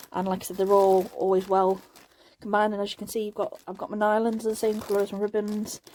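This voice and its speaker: A woman talks very fast at a medium pitch, her intonation flat and monotone. Her tone is dark and mellow. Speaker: craft tutorial youtuber. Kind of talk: product unboxing haul. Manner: repetitive fillers, casual.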